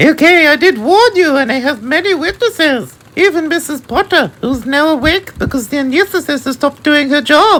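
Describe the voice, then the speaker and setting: Putting on a character voice, a woman speaks in a high pitch with lively intonation and hardly any pauses. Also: moderate pace. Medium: read story.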